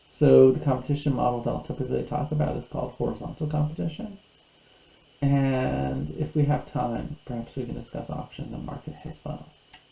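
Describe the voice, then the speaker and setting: Noticeable background noise surrounds a man with an American accent. He talks at a fairly quick pace. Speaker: university lecturer. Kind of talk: recorded lecture. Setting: online video lecture.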